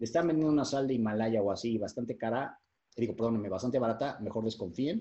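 A man at medium pitch and a very fast pace. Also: ordinary pitch variation. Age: 40s. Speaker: fitness and nutrition coach. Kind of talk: interview explanation.

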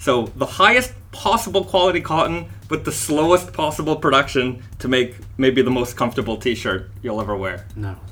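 A man speaks loudly at a medium pitch and a fairly slow pace, with hardly any pauses. His pitch swings very widely. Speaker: fashion brand founder. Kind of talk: interview. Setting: on location at the guests' base. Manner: clear articulation.

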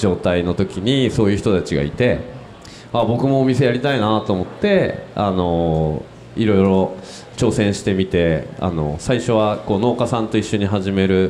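A man with a plain, everyday voice, fairly low in pitch, with ordinary pitch variation. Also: moderate pace. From Tokyo. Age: 40s. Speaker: business owner. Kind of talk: panel discussion. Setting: live recording with audience.

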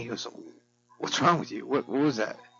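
A man speaks with vocal fry. His pitch variation is ordinary. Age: 50s. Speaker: solo podcaster. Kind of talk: casual monologue.

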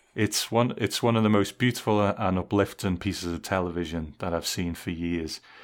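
The speaker has an English accent and fairly even intonation, talking at a moderate pace with hardly any pauses. The recording is very clean, with a silent background. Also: man, very deep, low pitch for a man. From England. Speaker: podcast host. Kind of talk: casual chat.

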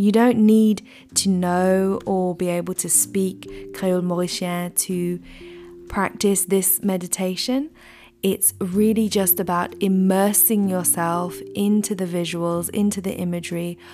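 Over music in the background, a woman at medium pitch speaks in a calm, soothing tone with monotone, flat intonation. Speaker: podcast host and meditation guide. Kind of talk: guided meditation. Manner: calm, slow, soothing; gentle, unhurried.

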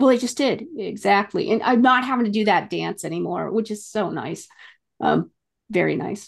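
Against a quiet background, a woman talks at a moderate pace with lively intonation. Her voice sits at a fairly high pitch and carries vocal fry. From New England. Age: 50s. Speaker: podcast co-host. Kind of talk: casual interview chat.

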